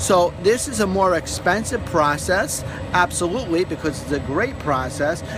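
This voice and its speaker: A high-pitched man's voice against noticeable background noise. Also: lively intonation, moderate pace. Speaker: pest control technician. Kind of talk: on-site video walkthrough. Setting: indoors at a job site, house being heated.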